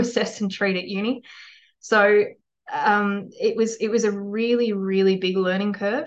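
A woman's voice of medium pitch at a fairly slow pace. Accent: Australian. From rural New South Wales, Australia. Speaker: physiotherapist and clinic owner. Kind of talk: podcast interview.

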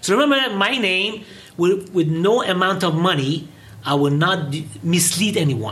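Animated in tone and lively in intonation, the speech moves at a moderate pace over noticeable background noise. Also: man, high pitch for a man. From Iran, raised in England and US. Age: 50s. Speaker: English teacher and product distributor. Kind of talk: interview. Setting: studio.

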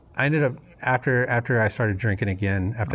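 A man with an American accent talks at a fairly quick pace, his fairly low voice somewhat breathy, with ordinary pitch variation. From US South, Memphis, Tennessee. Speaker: recovering alcoholic, Air Force veteran. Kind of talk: personal testimony interview. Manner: casual, many fillers.

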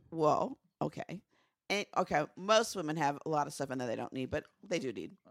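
With vocal fry and lively intonation, a woman speaks fairly quickly at a very deep, low pitch, in a very clean recording with a silent background and a dry, close sound free of echo. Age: old. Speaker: podcast co-host, TV recap. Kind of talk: casual chat. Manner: soft-spoken.

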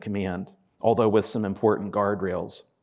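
The voice belongs to a man. The recording is very clean, with a silent background. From western Pennsylvania. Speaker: history professor. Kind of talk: lecture. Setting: stage with live audience. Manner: halting, many repeated words.

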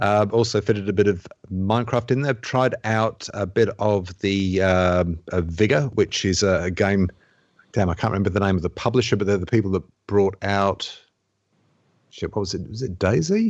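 Over a quiet background, a man with a plain, everyday voice talks at a moderate pace in a fairly low pitch with fairly even intonation. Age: 30s. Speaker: video game podcast panelist. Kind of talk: casual chat.

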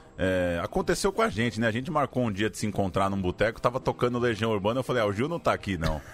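A man at medium pitch, very fast and with hardly any pauses, with lively intonation. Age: 30s. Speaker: podcast producer. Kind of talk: casual chat.

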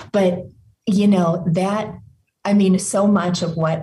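The voice has a dark, mellow tone with vocal fry. Audible room echo surrounds it. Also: woman. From small town. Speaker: doctor and author. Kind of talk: interview conversation.

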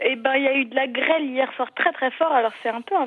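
A woman speaks with a plain, everyday voice and ordinary pitch variation. Her pace is fairly slow. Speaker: collective farm member. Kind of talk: casual chat. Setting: phone call. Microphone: landline phone.

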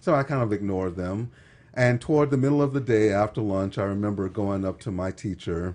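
A man with an American accent speaks at a moderate pace in a fairly low pitch. His is an ordinary speaking voice, with ordinary pitch variation. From Texas. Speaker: podcast guest. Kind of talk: casual chat.

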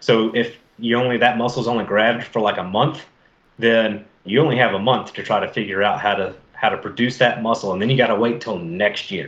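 Using a normal speaking voice, a man talks with fairly even intonation at a medium pitch. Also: fairly quick pace. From US South, Mobile, Alabama. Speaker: fisheries biologist. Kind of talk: casual interview.

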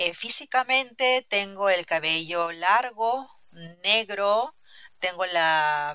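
A woman's medium-pitched voice, bright and sharp in tone, with lively intonation. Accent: Peruvian. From Peru, Lima. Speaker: interviewee in language-learning conversation. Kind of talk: casual interview.

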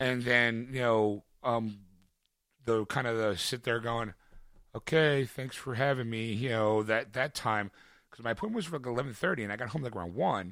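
A man with a Philadelphia accent speaks at a medium pitch with ordinary pitch variation, on a very clean recording with a silent background. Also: moderate pace. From US Northeast, Philadelphia. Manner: animated.

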